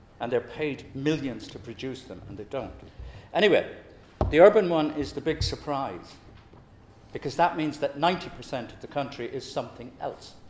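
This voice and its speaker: Lively intonation runs through a man's speech. Light background noise and audible room echo sit behind him. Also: moderate pace. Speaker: public speaker. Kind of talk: talk to an audience. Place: meeting room.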